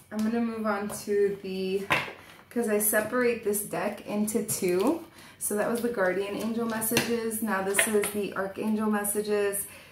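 Over noticeable background noise, the speaker talks at a moderate pace in a monotone, flat intonation. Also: woman, fairly high pitch for a woman. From Portuguese heritage. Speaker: tarot reader. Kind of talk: tarot reading monologue. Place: home room. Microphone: webcam.

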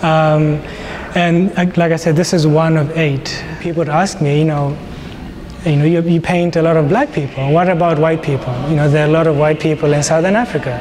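Over noticeable background noise, the voice holds a very even loudness and fairly even intonation. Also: man, fairly high pitch for a man, moderate pace. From Botswana. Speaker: painter. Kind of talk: interview monologue. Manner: hesitant, many fillers. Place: hall.

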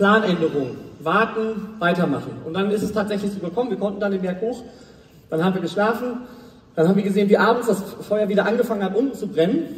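With audible room echo, a man talks at a very fast pace in a high pitch, his tone animated and his pitch variation ordinary. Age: 20s. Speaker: motivational speaker. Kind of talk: motivational talk. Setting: stage with audience. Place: stage.

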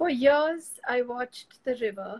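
A woman speaks with an Indian accent and ordinary pitch variation. Her pace is fairly slow. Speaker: poet and host. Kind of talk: live online poetry reading and conversation. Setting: video call, live stream. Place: home room. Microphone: video call.

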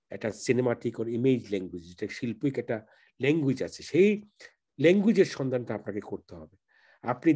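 A man's dark, mellow voice at medium pitch, with lively intonation and big swings in loudness against a quiet background. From Bangladesh, Sylhet. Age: 50s. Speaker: filmmaker. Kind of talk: interview.

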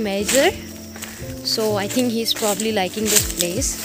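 A woman speaks at a moderate pace in a dry sound with no echo while clear music plays in the background. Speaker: vlogger. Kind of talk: casual vlog chat. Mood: startled, excited by snake. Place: garden. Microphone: phone near.

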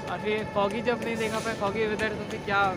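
A man talking at a moderate pace over loud background noise. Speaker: travel vlogger. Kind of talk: casual vlog chat. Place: station. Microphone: lapel.

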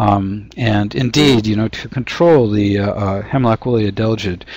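Heard in a dry sound with no echo, a man with an American accent has a normal speaking voice and a fairly low pitch. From US Pacific Northwest (Washington State). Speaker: forest entomologist; presenter. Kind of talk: webinar lecture. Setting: webinar. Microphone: video call.

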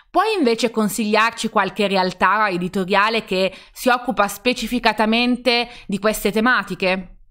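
A woman's bright, sharp tone with fairly even intonation, very even loudness and hardly any pauses, on a very clean recording with a silent background. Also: moderate pace. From Turin, northern Italy. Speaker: publisher, live stream co-host. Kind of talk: live stream interview. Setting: live stream from home.

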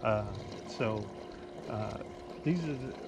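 There is noticeable background noise as a man speaks, his voice dry with no echo. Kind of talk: tutorial. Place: boat. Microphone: camera far.

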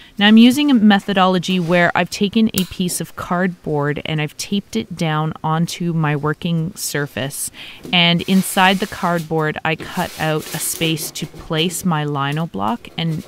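In a normal speaking voice, a woman talks at a fairly slow pace with fairly low pitch and ordinary pitch variation, light background noise and a dry sound with no echo. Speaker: teacher. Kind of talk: tutorial.

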